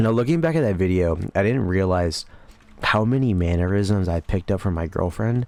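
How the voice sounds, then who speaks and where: Here a man speaks in a fairly low voice at a fairly quick pace. His pitch varies in an ordinary way. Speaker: commentary YouTuber. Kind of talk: casual gameplay commentary. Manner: casual, low-enthusiasm.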